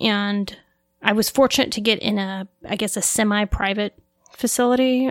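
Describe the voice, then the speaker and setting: A woman speaks in a normal speaking voice at medium pitch and a moderate pace. The sound is dry and close, with no echo. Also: fairly even intonation. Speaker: pharmacy technician. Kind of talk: casual interview.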